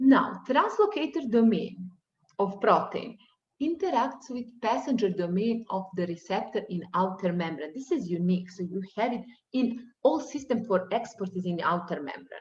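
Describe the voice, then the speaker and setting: A woman with a non-native accent sounds somewhat breathy, her fairly high pitch moving with lively intonation. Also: moderate pace. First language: not English. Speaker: university lecturer. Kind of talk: lecture. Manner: halting.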